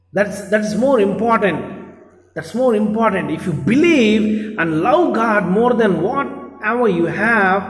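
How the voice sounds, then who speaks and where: This man speaks in a high pitch. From India. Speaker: bishop / preacher. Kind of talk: church sermon.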